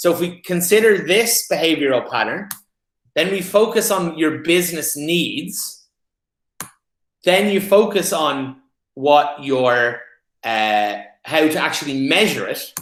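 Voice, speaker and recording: A man with an Irish accent and a high pitch speaks with long, frequent pauses amid audible room echo. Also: lively intonation, fairly slow pace. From Ireland. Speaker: paid media specialist. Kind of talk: presentation.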